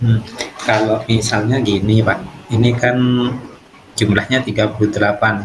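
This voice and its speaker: Over noticeable background noise, a man speaks at a moderate pace and fairly low pitch, with long, frequent pauses. His intonation is monotone and flat, and his loudness stays very even. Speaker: primary school teacher (coachee). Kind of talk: role-play coaching conversation.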